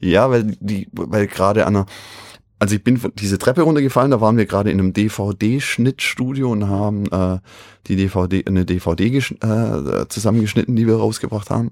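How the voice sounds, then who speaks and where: A man with an ordinary speaking voice talks at a moderate pace in a fairly low pitch with ordinary variation. The recording is very clean, dry and close, with a silent background and no echo. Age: 50s. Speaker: rock drummer. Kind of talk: casual chat.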